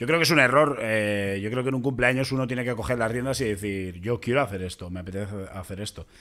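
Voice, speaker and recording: A very fast male voice with ordinary pitch variation. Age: 30s. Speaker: podcast host, comedian. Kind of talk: casual chat.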